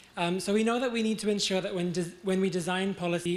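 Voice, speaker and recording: The speech comes very fast. There is audible echo from the room. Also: man. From New Zealand Maori. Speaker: audience member, youth advocate. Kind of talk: question from audience. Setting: lecture theatre with audience.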